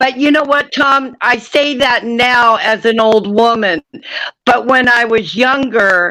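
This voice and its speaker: A woman's high, bright, sharp voice in an American accent at a very slow pace. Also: ordinary pitch variation. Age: 60s. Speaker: live stream participant. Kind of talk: casual chat.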